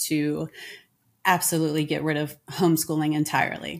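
On a very clean recording with a silent background, a woman with an American accent speaks at a fairly slow pace in a very deep, low pitch. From United States. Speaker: homeschooling parent. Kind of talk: interview.

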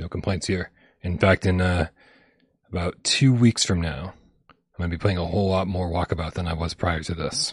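Long, frequent pauses break up a somewhat breathy voice, recorded dry and close with no echo against a quiet background. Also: man, very deep, low pitch for a man, moderate pace. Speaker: VR gaming show host. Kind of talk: casual chat.

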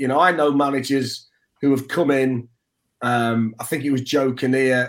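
The speaker has an East Midlands accent and fairly even intonation. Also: man. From Nottingham, England. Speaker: sports broadcaster. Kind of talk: casual chat.

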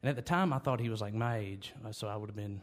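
A man with a Southern US accent talks over a silent background on a very clean recording. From North Carolina (near Winston-Salem). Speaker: country musician. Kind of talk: interview.

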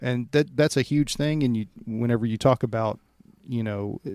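In a dry, close sound with no echo, a man talks at a moderate pace and medium pitch in a normal speaking voice. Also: very clean recording, silent background. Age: 40s. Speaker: podcast host and firefighter. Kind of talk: casual podcast interview.

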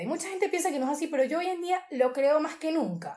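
A woman with a Venezuelan accent, high-pitched yet dark and mellow in tone, with lively intonation at a very fast pace. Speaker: social media creator. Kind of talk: casual interview chat.

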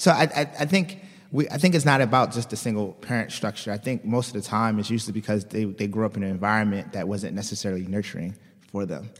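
Speaking at a very fast pace, a man with a fairly low pitch shows ordinary pitch variation. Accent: American. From Baltimore, US. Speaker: startup founder and CEO. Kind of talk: interview.

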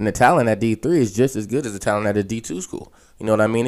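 A man with an American accent talks very fast at a fairly low pitch, with fairly even intonation, in a very clean recording with a silent background. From western Pennsylvania (Aliquippa). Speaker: college football coach, former quarterback. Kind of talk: casual interview.

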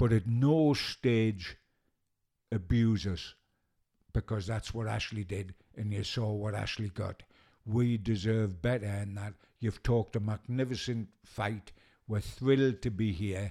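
With a Geordie accent, a man speaks at a fairly slow pace and fairly low pitch, in a dark, mellow tone. Long, frequent pauses break up his speech on a very clean recording with a silent background. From Newcastle, northeast England. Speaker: football journalist. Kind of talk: casual interview chat. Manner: animated.

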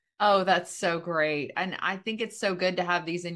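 Here a woman speaks at a medium pitch. It is an ordinary speaking voice. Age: 50s. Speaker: podcast host and real estate agent. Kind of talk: casual interview chat.

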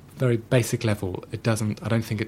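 The man's voice sits at a medium pitch and is somewhat breathy. His recording is very clean, with a silent background. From Germany, Schleswig-Holstein. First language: German. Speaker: author and journalist. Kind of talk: interview. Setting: studio. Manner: halting.

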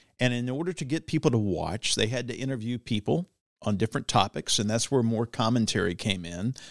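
Using an ordinary speaking voice with an American accent, a man talks at a fairly quick pace and medium pitch with lively intonation in a very clean recording with a silent background. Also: dry, close sound with no echo. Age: 50s. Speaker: politician and former TV news anchor. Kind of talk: casual interview. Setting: studio.

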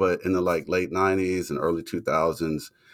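Heard in a dry, close sound with no echo, the male speaker has an American accent. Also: very clean recording, silent background. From US Deep South. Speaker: literature professor and author. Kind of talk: interview.

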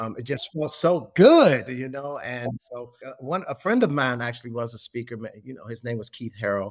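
In a normal speaking voice with an American accent, a man talks at a moderate pace and medium pitch, with hardly any pauses. His pitch varies in an ordinary way, while his loudness swings widely. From Chicago, US Midwest. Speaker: hospitality historian and author. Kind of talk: casual interview.

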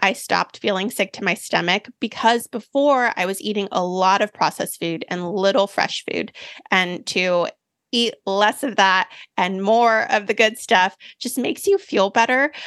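Dry and close with no echo, a woman's recording has an unremarkable speaking voice at a medium pitch, ordinary pitch variation and a moderate pace. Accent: American. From US, Mexican and Japanese family. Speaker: plant-based cooking author. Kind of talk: interview conversation.

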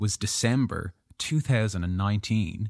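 A man with a fairly low pitch and ordinary pitch variation has an unremarkable speaking voice. The recording is very clean, dry and close, with no echo and a silent background. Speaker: podcast host, writer and filmmaker. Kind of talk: casual chat.

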